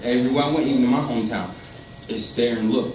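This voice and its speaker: A man talks very fast, his words carrying audible room echo amid noticeable background noise. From Connecticut, US. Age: 30s. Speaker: Tourette syndrome advocate. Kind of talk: casual interview. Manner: vocal tics; rambling, fast.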